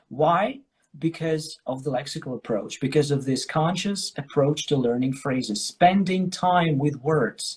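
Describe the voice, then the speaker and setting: A man speaks at a fairly slow pace in an ordinary speaking voice. His pitch sits fairly high, with ordinary variation. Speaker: English teacher. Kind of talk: casual chat. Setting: live stream.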